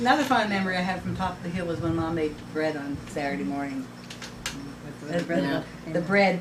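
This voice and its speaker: Over noticeable background noise, a woman talks at a fairly quick pace with a fairly low pitch and lively intonation, broken by long, frequent pauses. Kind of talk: casual reminiscing among sisters.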